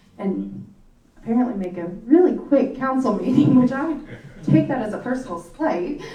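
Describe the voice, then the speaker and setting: With lively intonation and a moderate pace, a woman speaks amid noticeable background noise and audible room echo. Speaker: mayor chairing city council meeting. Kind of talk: council meeting proceedings.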